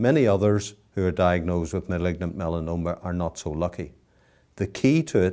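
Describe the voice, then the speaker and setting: Very deep and low in pitch, a man with a dark, mellow tone speaks at a moderate pace in a very clean recording with a silent background. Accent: Northern Irish. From Northern Ireland, Belfast. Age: 60s. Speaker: cancer survivor. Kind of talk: testimony.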